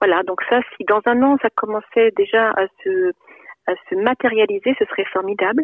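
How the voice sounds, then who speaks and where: Ordinary pitch variation marks a woman's fairly high-pitched voice. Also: moderate pace. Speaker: psychologist and novelist. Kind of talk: interview. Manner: halting, many repetitions and hesitations.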